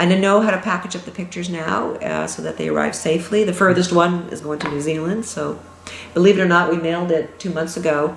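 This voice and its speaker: Over noticeable background noise and audible room echo, a woman speaks very fast with a fairly low pitch and fairly even intonation. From Toronto, Canada. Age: 60s. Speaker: pastel artist, former optometrist. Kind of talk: interview.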